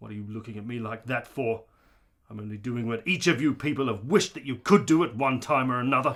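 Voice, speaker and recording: A man's put-on character voice at a medium pitch, delivered at a very fast pace. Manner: angry, contemptuous.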